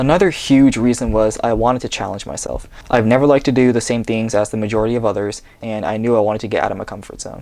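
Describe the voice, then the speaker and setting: Barely pausing, a man with a West Coast accent talks at a very fast pace in a medium pitch with ordinary pitch variation. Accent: American English, US West Coast. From US Pacific Northwest, Seattle. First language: Japanese. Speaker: vlogger. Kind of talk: reading aloud. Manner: read from script.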